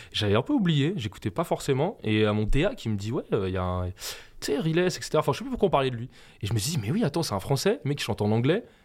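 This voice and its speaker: Very fast and fairly high-pitched, a man speaks with very wide pitch swings in a very clean recording with a silent background. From France, Essonne (Brunoy). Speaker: music producer. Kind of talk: interview.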